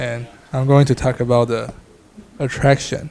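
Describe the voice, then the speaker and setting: A man's medium-pitched voice with a Taiwanese accent and a monotone, flat intonation. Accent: Taiwanese Mandarin-accented English. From Taiwan, New Taipei City. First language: Mandarin. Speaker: student. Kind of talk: class presentation. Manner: halting, with many fillers.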